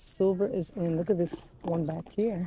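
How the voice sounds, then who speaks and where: Against light background noise, a woman with a fairly low pitch speaks at a fairly slow pace with fairly even intonation, in a dry sound with no echo. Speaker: shopping vlogger. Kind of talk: casual vlog chat. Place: shop.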